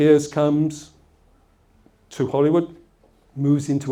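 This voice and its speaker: With an English accent, a man talks at a moderate pace in a fairly high voice. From England, Essex. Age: old. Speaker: motivational speaker. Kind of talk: motivational talk with anecdotes.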